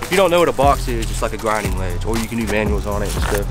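Very fast speech with clear background music and a dry sound with no echo. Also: man. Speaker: vlogger. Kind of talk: casual vlog chat. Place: garden. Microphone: phone near.

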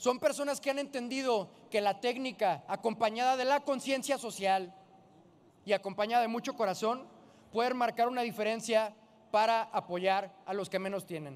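At a moderate pace, a man speaks with high pitch and ordinary pitch variation. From Jalisco, Mexico. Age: 20s. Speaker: politician. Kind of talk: parliamentary speech. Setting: legislative chamber. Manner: formal. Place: hall. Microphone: podium.

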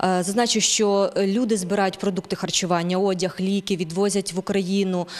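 A woman's flat, monotone delivery at a moderate pace, very even in loudness, with hardly any pauses. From western Ukraine, near Lviv; Ukraine. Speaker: journalist, news presenter; TV host. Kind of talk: TV news and interview. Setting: studio. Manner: halting in Italian. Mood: serious, calm. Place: studio. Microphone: handheld.

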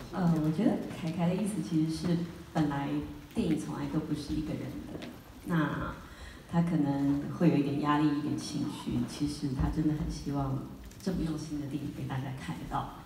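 A woman's very deep, low voice with fairly even intonation at a moderate pace, long and frequent pauses, audible room echo and light background noise. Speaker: film actress. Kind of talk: film premiere Q&A remarks. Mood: earnest, supportive. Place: hall.

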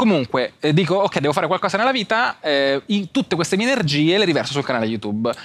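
The pitch swings very widely. The pace is very fast. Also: man. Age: young. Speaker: content creator and entrepreneur; content creator. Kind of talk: casual interview. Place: studio. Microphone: lapel.

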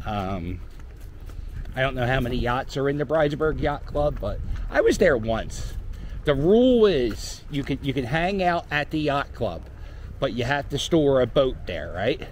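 Over light background noise, a man with an American accent speaks at a moderate pace, his fairly high pitch carrying lively intonation in a dry sound with no echo. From Philadelphia (Port Richmond). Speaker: YouTuber / street vlogger. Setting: outdoors, walking a dog. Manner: rambling, filler-heavy (um, uh), self-correcting. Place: street. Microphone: phone near.

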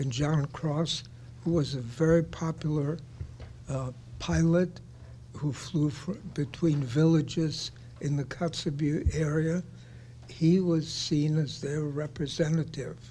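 Light background noise accompanies speech at a very slow pace with long, frequent pauses. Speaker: audience member. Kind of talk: audience Q&A comment. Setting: conference room, live audience. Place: meeting room.

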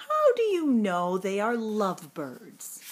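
A put-on character voice moves at a slow pace with a slightly husky edge. Its pitch swings very widely. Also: woman, medium pitch for a woman.

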